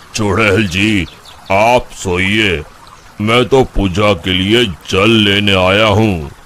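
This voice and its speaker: Doing a cartoonish character voice, a man speaks at a very slow pace with a fairly low pitch, fairly even intonation and very even loudness, with clear background noise behind him. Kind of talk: cartoon voice acting. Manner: calm, measured.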